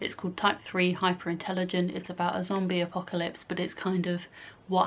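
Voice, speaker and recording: In an English accent, a woman speaks with a fairly low pitch. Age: 20s. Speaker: YouTuber. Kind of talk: casual vlog.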